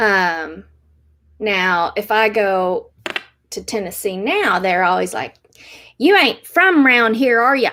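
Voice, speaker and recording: In an American accent with a bright, sharp tone, the speaker goes at a very slow pace with lively intonation and long, frequent pauses. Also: woman, fairly high pitch for a woman. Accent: toned-down Southern. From Appalachia, US South. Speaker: YouTuber, Korean adoptee. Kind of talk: casual livestream talk. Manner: hesitant, many fillers.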